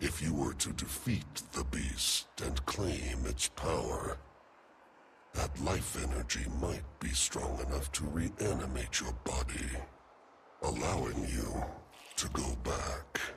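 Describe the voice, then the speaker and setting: Over clear background noise, a put-on character voice speaks at a fairly slow pace. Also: man. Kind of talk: epic fantasy game voice acting. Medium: video game. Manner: solemn, measured, formal.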